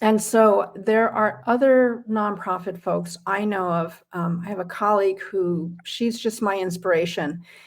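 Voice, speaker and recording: A woman with an ordinary speaking voice, medium pitch and a fairly slow pace. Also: ordinary pitch variation. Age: 60s. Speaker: career coach and nonprofit fundraising strategist. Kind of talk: interview.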